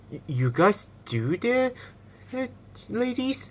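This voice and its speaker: Someone does a put-on character voice at a fairly high pitch and a very slow pace, with clear background noise behind it. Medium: machinima.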